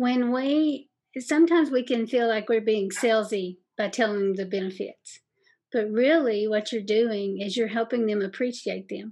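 Against a quiet background, a woman talks at a fairly slow pace with a fairly high pitch. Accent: Kentucky. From Southeast Kentucky. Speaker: sales podcast host and coach. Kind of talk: interview, casual advice chat. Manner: warm, friendly.

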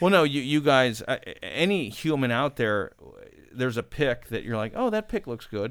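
A man speaks in a plain, everyday voice at medium pitch and a moderate pace, with lively intonation. The recording is very clean, with a silent background. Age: 40s. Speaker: podcast guest. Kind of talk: casual chat.

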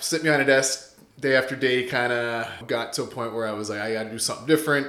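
A man with an Ontario accent talks at a very fast pace in an animated tone, with audible room echo. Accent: Canadian (Ontario). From Canada, Windsor-Essex, Ontario. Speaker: real estate investor and realtor. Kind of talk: podcast interview. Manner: casual, animated.

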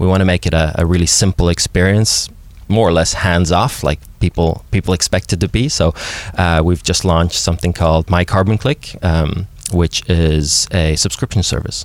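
A man speaks at a moderate pace with a very deep, low pitch. His loudness stays very even. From Norway. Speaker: climate tech entrepreneur. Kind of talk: interview.

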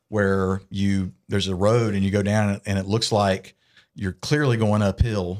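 A man's fairly low voice in a Southern US accent, flat and monotone at a fairly slow pace, in a very clean recording with a silent background. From US South, south Georgia (Valdosta). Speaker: musician. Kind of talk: casual chat.

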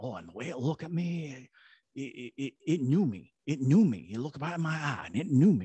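In a put-on character voice with a slight Cajun accent, a man speaks at a fairly high pitch. His pace is moderate. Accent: light Cajun. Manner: awed, uneasy.

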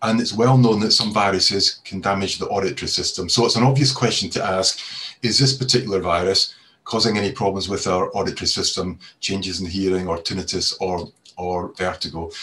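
At a fairly quick pace, a man speaks in a fairly low voice with a bright, sharp tone and ordinary pitch variation. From Scotland. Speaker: audiology professor. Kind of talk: panel discussion, explanatory. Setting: online webinar.

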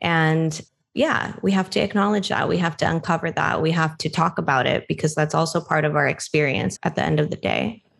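A woman speaks with a very deep, low pitch, vocal fry and very even loudness. Her pace is fairly quick with ordinary pitch variation and hardly any pauses. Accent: American. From US, Filipino American. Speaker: podcast co-host. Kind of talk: casual chat.

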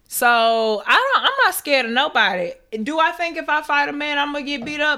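With a raised, projected voice, a woman speaks at a fairly quick pace, her high pitch carrying a bright, sharp tone. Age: 30s. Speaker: podcast co-host. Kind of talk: casual chat.

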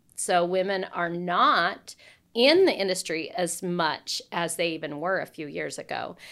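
A woman sounds enthusiastic on a very clean recording with a silent background. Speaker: podcast host. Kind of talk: casual interview chat.

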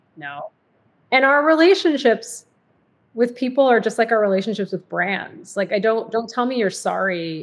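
In a General American accent, a woman with a plain, everyday voice speaks at a moderate pace, her pitch fairly high and her intonation lively. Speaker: diversity and inclusion executive, podcaster. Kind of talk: casual interview chat.

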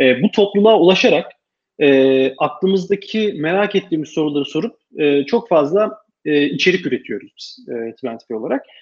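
Lively intonation marks a man's fairly high voice as he speaks at a moderate pace. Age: 30s. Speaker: tech startup founder. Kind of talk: interview. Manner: halting, many filler sounds.

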